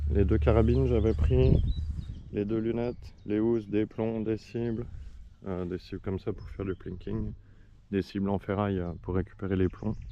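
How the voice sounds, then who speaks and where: Lively intonation from a man with a very deep, low pitch. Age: 40s. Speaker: airgun hobbyist vlogger. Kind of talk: casual product review. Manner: fast; hesitant fillers.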